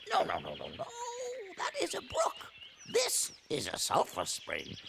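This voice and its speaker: A put-on character voice at an extremely high pitch goes at a moderate pace over loud background noise. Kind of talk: formal, precise diction. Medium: audio drama. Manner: fussy, repeats phrases.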